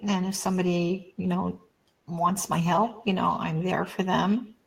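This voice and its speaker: Her voice is somewhat breathy and medium in pitch. The woman speaks at a fairly slow pace. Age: 70s. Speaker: psychic. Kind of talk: interview.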